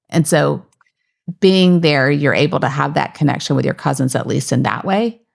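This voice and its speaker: A woman's very deep, low voice with vocal fry, a moderate pace and ordinary pitch variation. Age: 50s. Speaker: podcast host, mental health therapist and professor. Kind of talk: podcast interview conversation.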